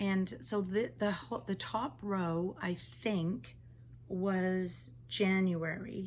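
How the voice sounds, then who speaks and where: A woman's fairly low, somewhat breathy voice. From England. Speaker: knitting podcaster. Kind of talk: casual talk to camera.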